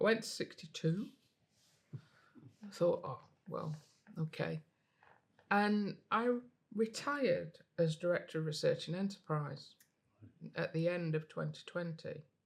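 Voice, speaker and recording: A woman's fairly low, somewhat breathy voice in a northern English accent, with lively intonation, a fairly slow pace and long, frequent pauses. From northern England, Derbyshire (Chesterfield). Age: 60s. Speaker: physics professor and university innovation leader. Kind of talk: podcast interview. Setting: on location interview set. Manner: hesitant, many fillers and repetitions.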